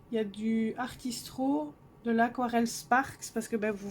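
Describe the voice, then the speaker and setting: Soft-spoken and fairly high in pitch, a woman talks at a very slow pace. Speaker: coloring hobbyist youtuber. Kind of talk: casual show-and-tell vlog. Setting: cold bedroom at home.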